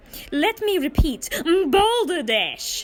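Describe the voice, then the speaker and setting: A woman shouts loudly in a put-on character voice at an extremely high pitch with very wide pitch swings. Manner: shouting, pompous, indignant.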